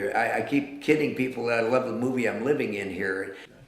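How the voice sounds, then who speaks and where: A man at medium pitch speaks in an American accent. Noticeable background noise and audible room echo are present. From eastern Washington. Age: 60s. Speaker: artist. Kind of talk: interview. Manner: halting.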